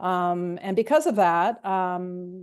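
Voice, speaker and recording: Against a quiet background, a woman speaks at a medium pitch with ordinary pitch variation and a Canadian accent. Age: 60s. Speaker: guest sharing recovery story. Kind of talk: podcast interview, personal testimony. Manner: hesitant, many fillers and repetitions.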